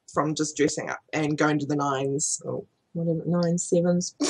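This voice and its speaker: Here a woman speaks in a New Zealand accent. Her pace is moderate, and the sound is dry and close with no echo. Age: 30s. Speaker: cosplay supplies business owner. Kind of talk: casual interview chat. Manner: animated.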